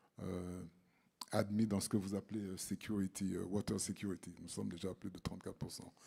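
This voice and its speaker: In a very deep, low voice with a dark, mellow tone, a man speaks at a fairly quick pace with monotone, flat intonation. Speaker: mining cadastre expert, panelist. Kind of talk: conference presentation. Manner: hesitant, many fillers.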